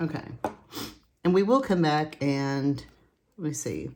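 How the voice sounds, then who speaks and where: A woman with a very deep, low pitch and vocal fry speaks at a fairly slow pace with ordinary pitch variation. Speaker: coloring tutorial creator. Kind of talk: tutorial. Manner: casual, chatty.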